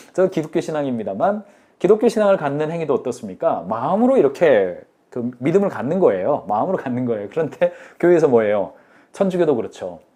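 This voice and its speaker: A man talks very fast at a fairly high pitch. His pitch swings very widely over a quiet background. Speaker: business consultant hosting a live lecture. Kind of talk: live-streamed business lecture. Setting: live stream with chat.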